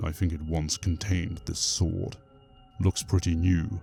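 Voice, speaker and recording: Over music in the background, a man puts on a character voice with a very deep, low pitch, fairly even intonation and a moderate pace. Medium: read story.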